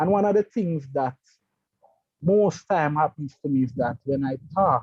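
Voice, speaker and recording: This man talks fairly slowly, his somewhat breathy voice pitched fairly high and showing ordinary pitch variation. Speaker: electrical engineer and project manager. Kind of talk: interview. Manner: halting.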